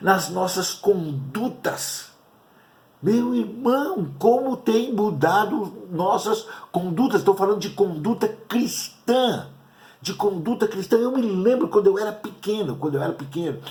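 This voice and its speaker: In a room with audible echo, a man with a high pitch speaks at a fairly slow pace using lively intonation. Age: 60s. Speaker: pastor. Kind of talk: sermon. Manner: halting.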